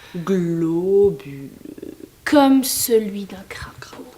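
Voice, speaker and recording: At a very slow pace, a woman uses a put-on character voice of medium pitch with lively intonation. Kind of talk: amateur theatre acting. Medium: stage play.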